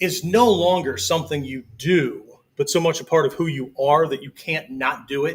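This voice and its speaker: This is an ordinary speaking voice. Its pitch variation is ordinary too. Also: man. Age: 60s. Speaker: martial arts instructor. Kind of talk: live-streamed lecture. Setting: live video stream. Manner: conversational, frequent 'okay' fillers.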